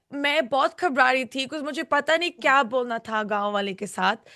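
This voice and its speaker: A raised, projected voice with a bright, sharp tone over a quiet background. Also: woman. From United Kingdom. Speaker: reality show contestant. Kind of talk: interview. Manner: halting.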